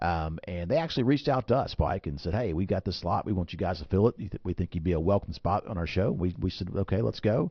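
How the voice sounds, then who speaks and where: A man with an Alabama accent, very deep and low, somewhat breathy, very fast, with lively intonation and hardly any pauses. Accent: Alabama Southern twang. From Alabama (Birmingham). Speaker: financial advisor, radio host. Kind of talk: radio talk show chat. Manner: repetitive, many fillers and restarts.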